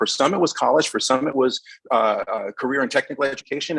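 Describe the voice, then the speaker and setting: A man's very fast speech, fairly high in pitch, with a dry, close sound and no echo. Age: 50s. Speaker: educator, candidate interviewed by school board. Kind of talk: interview answer at public board meeting. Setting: school board meeting.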